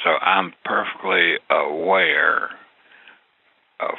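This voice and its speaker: A man talks with a Southern US accent. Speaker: listener. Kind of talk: voice message.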